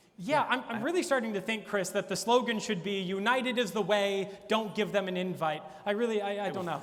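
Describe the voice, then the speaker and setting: A man with a high voice and ordinary pitch variation speaks fairly quickly, with noticeable background noise around him. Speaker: event host. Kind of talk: comedic late-night talk show monologue.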